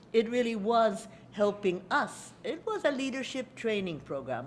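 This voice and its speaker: A woman speaks with lively intonation amid audible room echo. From Hungary, then USA. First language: Hungarian. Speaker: lecturer. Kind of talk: lecture. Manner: halting.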